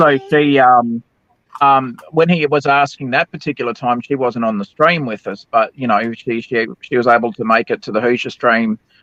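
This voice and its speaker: A man's medium-pitched voice with an Australian accent, a moderate pace and ordinary pitch variation. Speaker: livestream panelist. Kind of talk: casual chat. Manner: hesitant, many fillers.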